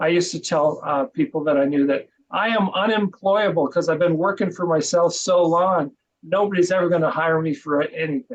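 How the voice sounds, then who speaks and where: A man at a high pitch and a fairly quick pace. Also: ordinary pitch variation. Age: 60s. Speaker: podcast co-host and marketing business owner. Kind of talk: interview.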